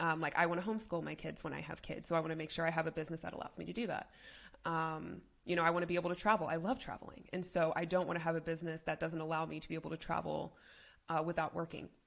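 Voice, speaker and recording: Talking at a very fast pace, a woman uses a fairly low pitch, fairly even intonation and vocal fry. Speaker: business consultant. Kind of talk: interview. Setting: podcast. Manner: speaks in a lower register.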